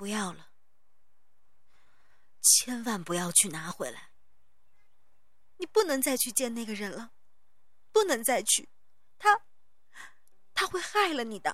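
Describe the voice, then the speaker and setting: A woman puts on a shaky character voice at a fairly high pitch and moderate pace. She leaves long, frequent pauses in a very clean recording with a silent background. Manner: trembling, urgent, pleading.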